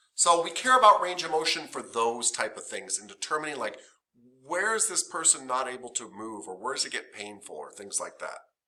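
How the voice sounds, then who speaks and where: With audible room echo, a man speaks at a fairly quick pace, his loudness rising and falling sharply. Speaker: massage therapy instructor. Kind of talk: lecture. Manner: casual, conversational.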